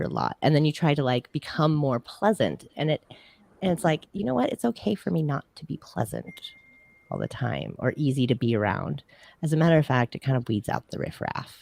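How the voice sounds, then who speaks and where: The voice is loud and moves at a fairly quick pace. Its pitch swings very widely. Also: woman, very deep, low pitch for a woman. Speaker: music show co-host. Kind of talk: casual panel chat. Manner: animated.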